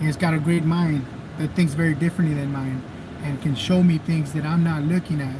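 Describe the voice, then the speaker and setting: Amid noticeable background noise, a man with a strong Mexican accent speaks at a fairly quick pace, in a fairly high pitch, with fairly even intonation. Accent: Mexican Spanish accent, heavy. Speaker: activist and video streamer. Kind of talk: live stream chat. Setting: live stream.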